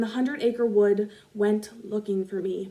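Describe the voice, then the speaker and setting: Over noticeable background noise, a woman speaks loudly at a moderate pace. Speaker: spoken word poet. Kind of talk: spoken word poetry performance.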